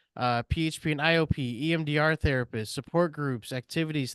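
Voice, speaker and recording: With a quiet background and a dry, close sound free of echo, a man in an unremarkable speaking voice talks at a fairly high pitch with ordinary pitch variation. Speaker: peer support coordinator. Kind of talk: presentation at a meeting. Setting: meeting room with audience and Zoom.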